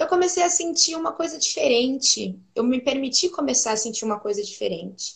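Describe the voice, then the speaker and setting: A woman's voice rises and falls in very wide pitch swings. It sounds somewhat breathy. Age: 20s. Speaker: pedagogue and preschool teacher. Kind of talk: casual chat.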